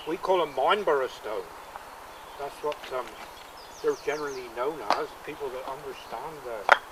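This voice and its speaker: A man with a Cornish accent at a fairly high pitch, ordinary pitch variation, big swings in loudness, long, frequent pauses and noticeable background noise. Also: moderate pace. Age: 70s. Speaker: stone wall builder. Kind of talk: interview. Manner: halting.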